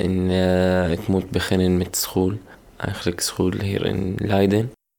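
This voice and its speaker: On a very clean recording with a silent background, a man with an Arabic accent speaks at a very slow pace in a very deep, low pitch. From Syria. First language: Arabic (speaking Dutch). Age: 20s. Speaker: refugee, music graduate. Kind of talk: interview testimony. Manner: halting.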